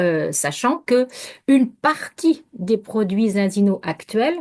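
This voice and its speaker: Against a quiet background, the speech moves at a very slow pace. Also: woman. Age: 60s. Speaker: naturopath. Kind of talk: interview. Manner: halting.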